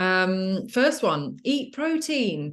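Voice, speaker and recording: A woman with a British accent speaks with very wide pitch swings against a quiet background. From UK. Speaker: fitness coach for mothers. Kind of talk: webinar presentation. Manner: casual, many fillers.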